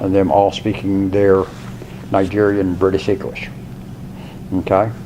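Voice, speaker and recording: Through noticeable background noise and audible room echo, a man with fairly low pitch talks at a fairly slow pace in a monotone, flat intonation. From Washington, D.C. area. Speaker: college instructor. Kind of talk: lecture. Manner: conversational.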